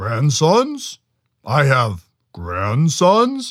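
A man bellows in a put-on character voice with a fairly high pitch. The recording is very clean with a silent background. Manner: roaring, incredulous.

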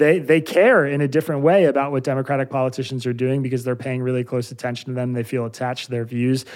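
With a Pennsylvania accent, a man talks at a fairly high pitch. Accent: American (Pennsylvania). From US Northeast, Bucks County, Pennsylvania. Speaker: journalist, newsletter founder. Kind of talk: interview.

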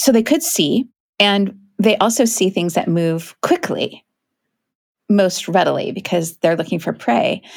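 In a very clean recording with a silent background, a woman with an American accent speaks at a moderate pace and medium pitch with lively intonation, in an unremarkable speaking voice. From US Pacific Northwest (Kent, near Seattle). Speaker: naturalist and author. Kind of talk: interview.

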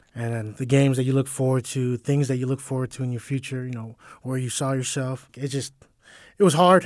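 Speaking at a fairly quick pace with fairly even intonation, an unremarkable speaking voice comes through on a very clean recording with a silent background. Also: man, medium pitch for a man. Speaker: college football player. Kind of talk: interview. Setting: media day event.

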